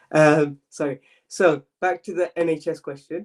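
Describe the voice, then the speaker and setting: A man talks in a London accent with a fairly high pitch. The sound is dry and close, with no echo. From London, East London. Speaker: medical student mentor. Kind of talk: live Q&A stream. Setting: live stream. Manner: fast; casual, filler-heavy.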